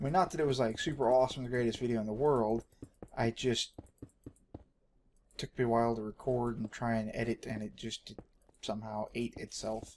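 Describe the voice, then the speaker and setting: A man with an American accent and a medium pitch speaks at a fairly quick pace, his intonation fairly even, broken by long and frequent pauses. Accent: Texan, strength disputed. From Texas. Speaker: gaming video creator. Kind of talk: gameplay commentary. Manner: casual, hesitant with fillers.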